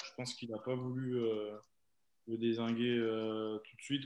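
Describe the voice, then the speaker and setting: Speaking at a fairly slow pace, a man keeps a medium pitch in a monotone, flat intonation. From Burgundy / Nièvre, France (Neuvy-sur-Loire). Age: 20s. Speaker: professional rugby player. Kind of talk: interview.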